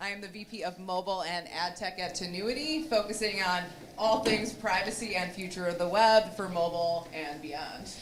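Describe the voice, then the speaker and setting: A woman speaks at a medium pitch and a moderate pace, with ordinary pitch variation. Audible room echo and noticeable background noise surround her voice. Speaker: marketing executive. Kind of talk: conference panel discussion. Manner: loud.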